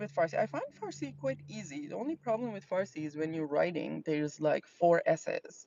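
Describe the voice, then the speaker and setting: A woman with an Azerbaijani accent speaks at a moderate pace. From Iran, Azeri region. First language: Azeri. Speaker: fragrance reviewer. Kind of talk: casual live stream chat. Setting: in a car. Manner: hesitant, many fillers and repetitions.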